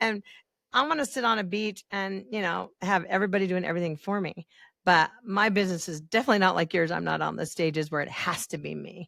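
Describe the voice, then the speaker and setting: A woman's fairly quick speech with vocal fry, in a very clean recording with a silent background. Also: medium pitch for a woman, ordinary pitch variation. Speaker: podcast host. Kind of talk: podcast interview, conversational. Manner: chatty, upbeat, humorous.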